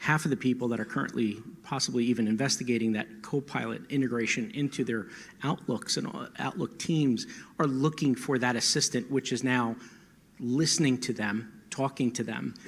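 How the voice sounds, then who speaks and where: Using an American accent, a man talks at a moderate pace and medium pitch with fairly even intonation. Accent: holds back his New Jersey. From New Jersey. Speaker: panelist, AV technology expert. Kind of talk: panel discussion.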